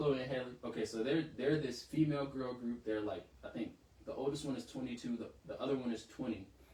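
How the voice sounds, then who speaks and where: With an American accent, a man talks in an animated tone at a fairly quick pace. His pitch is medium, and there is noticeable background noise. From US South, Savannah, Georgia. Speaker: podcast co-host. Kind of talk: casual chat.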